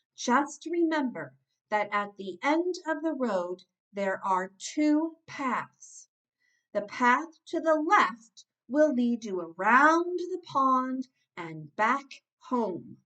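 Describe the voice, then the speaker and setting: Using a put-on character voice, a woman speaks at a very slow pace in a high pitch. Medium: read story. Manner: patient, repeating.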